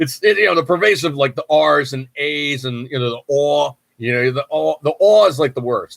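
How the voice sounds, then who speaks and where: Dry, close sound with no echo captures a man of medium pitch with an American accent. He talks fairly quickly with lively intonation. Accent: New York accent, creeps in at times. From New York. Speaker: podcast host. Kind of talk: casual chat. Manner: casual, filler-heavy.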